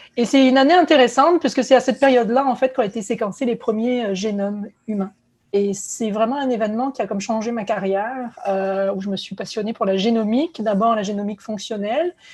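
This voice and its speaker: Somewhat breathy, a woman talks at a fairly high pitch and a fairly quick pace, with ordinary pitch variation. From southern France (Aix-en-Provence, Marseille). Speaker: biotech company co-founder and CEO, scientist. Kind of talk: virtual conference talk. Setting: virtual conference. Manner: many hesitations (euh).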